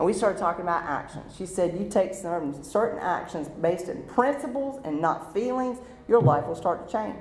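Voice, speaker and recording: Loud and speaking at a moderate pace, a woman has a North Carolina accent and very wide pitch swings. Music plays in the background, and the room echo is audible. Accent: Southern US (North Carolina). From eastern North Carolina, Rocky Mount area. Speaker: recovering alcoholic speaker. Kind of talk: testimony.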